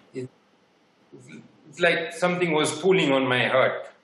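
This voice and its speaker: There is audible room echo around a man whose voice sits fairly high for a man, with ordinary pitch variation. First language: French or Haitian Creole. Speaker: sourcing partner. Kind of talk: conference interview.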